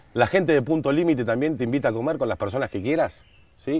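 Speaking at a very fast pace, a man uses lively intonation. The sound is dry, with no echo. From Argentina. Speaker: show host. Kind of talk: casual chat. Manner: animated. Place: garden.

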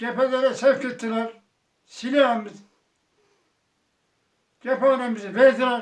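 A man with an extremely high pitch, a fairly slow pace and monotone, flat intonation. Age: 80s+. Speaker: war veteran. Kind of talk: interview answer.

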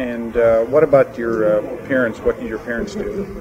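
With noticeable background noise, a man talks at a moderate pace with lively intonation. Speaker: interviewer. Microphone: old recording.

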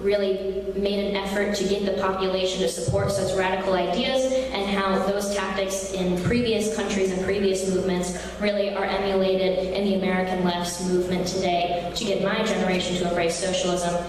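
A woman's monotone, flat delivery at a fairly quick pace, with hardly any pauses, light background noise and strong room echo. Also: very even loudness. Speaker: conference speaker. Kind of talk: political speech. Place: hall. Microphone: podium.

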